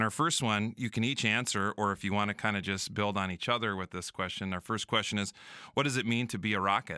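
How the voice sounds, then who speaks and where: Over a very clean recording with a silent background, a man with a bright, sharp tone speaks at a very fast pace with fairly even intonation in a dry, close sound with no echo. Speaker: high school principal. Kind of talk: casual podcast chat. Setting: church.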